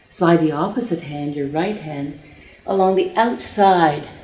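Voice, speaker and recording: A woman's fairly low voice at a moderate pace, ordinary pitch variation, and noticeable background noise. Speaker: yoga teacher. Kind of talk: yoga class instruction.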